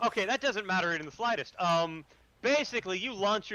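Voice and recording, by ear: The pitch moves in an ordinary way. The passage is read aloud in a natural voice.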